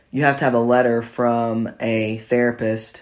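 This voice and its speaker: A man with an American accent speaks at a fairly slow pace in a medium pitch, with monotone, flat intonation. The background is quiet. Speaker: podcast host. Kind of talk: casual chat. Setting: home recording with wife.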